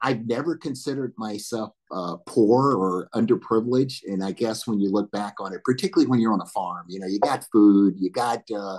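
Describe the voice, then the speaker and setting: A man with an Alabama accent, fairly low in pitch with ordinary variation, at a fairly quick pace against a quiet background. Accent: Southern US (Alabama). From US South, northern Alabama. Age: 60s. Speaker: military veteran and corporate board director. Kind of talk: panel interview, personal life story.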